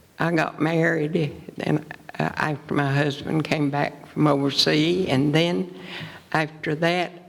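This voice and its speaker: Against noticeable background noise, a woman speaks fairly slowly in a very deep, low voice with fairly even intonation and very even loudness. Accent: Appalachian. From East Tennessee. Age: 80s+. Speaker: retired teacher and wartime plant worker. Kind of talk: public interview. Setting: stage with audience.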